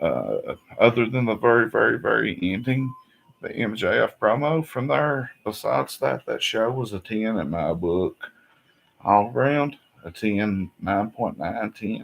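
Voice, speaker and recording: A man speaks in an Appalachian accent at a fairly slow pace. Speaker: wrestling vlogger. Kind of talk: casual show review. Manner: animated.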